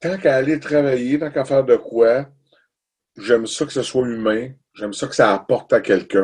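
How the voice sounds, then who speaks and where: A man speaks at a moderate pace and medium pitch with ordinary pitch variation. His loudness swings widely, and he leaves long, frequent pauses. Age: 50s. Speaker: musician. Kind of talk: casual chat. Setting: home studio.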